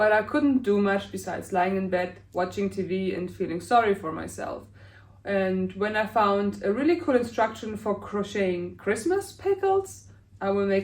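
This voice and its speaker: The speaker has a German accent and talks at a moderate pace. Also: woman. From Germany. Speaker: crochet crafter. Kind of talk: casual talk to camera.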